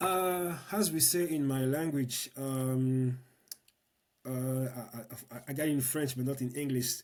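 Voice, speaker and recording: A man with a Congolese accent talks at a very slow pace and medium pitch. His loudness is very even, with ordinary pitch variation. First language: Lingala. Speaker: political activist and educator. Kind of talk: interview conversation. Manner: halting, many repetitions.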